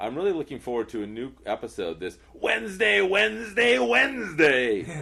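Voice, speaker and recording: Putting on a booming character voice, a man with a medium pitch speaks in a raised, projected voice with very wide pitch swings, a moderate pace, and hardly any pauses. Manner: booming, promotional.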